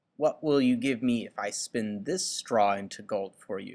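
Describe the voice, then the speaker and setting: A man does a put-on character voice at a moderate pace, with big swings in loudness. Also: medium pitch for a man, ordinary pitch variation. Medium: read story. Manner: sly, mischievous.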